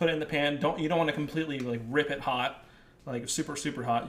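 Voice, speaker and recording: With noticeable background noise behind him, a man talks at a very fast pace and a fairly high pitch with fairly even intonation. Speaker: chef. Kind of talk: cooking tutorial. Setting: live video stream.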